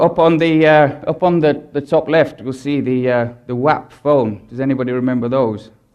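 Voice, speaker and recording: At a moderate pace and a fairly high pitch, a man talks with ordinary pitch variation amid audible room echo. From Britain. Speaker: advertising strategist. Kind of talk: conference talk.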